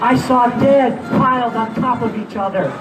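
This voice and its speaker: Over noticeable background noise, the voice carries audible room echo and ordinary pitch variation. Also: man. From Puerto Rico. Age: 60s. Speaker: war veteran. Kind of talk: rally speech. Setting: outdoors.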